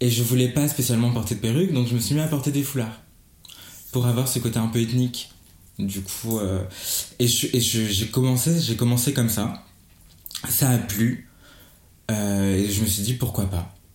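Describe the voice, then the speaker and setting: Audible room echo surrounds a man speaking at a medium pitch with ordinary pitch variation and very even loudness. He goes at a fairly slow pace with long, frequent pauses. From Gabon. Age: 20s. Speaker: hairdresser. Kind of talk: interview. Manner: halting.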